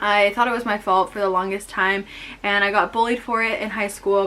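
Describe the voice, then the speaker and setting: A woman speaks with an American accent. Her pitch is medium and her intonation fairly even. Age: 20s. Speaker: vlogger. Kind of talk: personal testimony vlog. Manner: casual, with fillers.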